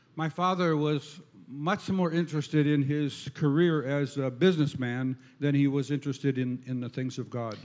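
An unremarkable speaking voice from a man, fairly high in pitch, at a fairly slow pace with fairly even intonation. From Minnesota. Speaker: visiting preacher. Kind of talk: sermon. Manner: interpreted in short phrases with pauses.

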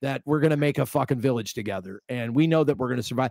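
Speaking at a very fast pace with ordinary pitch variation, a man is heard in a dry, close sound with no echo. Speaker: podcast host. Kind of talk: podcast interview.

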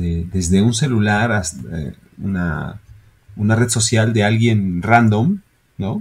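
The speaker goes at a very slow pace with ordinary pitch variation. Long, frequent pauses break up the speech. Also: man, fairly low pitch for a man. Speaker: podcast co-host, business owner. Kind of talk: casual chat.

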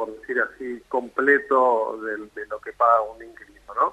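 Speaking at a fairly slow pace, a man with an ordinary speaking voice keeps a medium pitch. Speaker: real estate association representative. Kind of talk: radio interview.

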